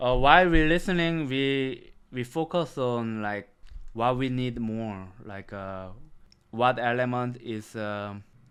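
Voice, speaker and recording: A man with a Korean accent at medium pitch, very slow in pace, with ordinary pitch variation and big swings in loudness. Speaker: music producer. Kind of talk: tutorial. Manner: halting.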